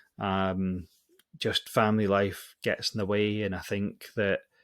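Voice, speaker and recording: In a Scottish accent, a man speaks at a fairly low pitch on a very clean recording with a silent background. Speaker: podcast host. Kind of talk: casual announcement to listeners. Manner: hesitant, lots of fillers.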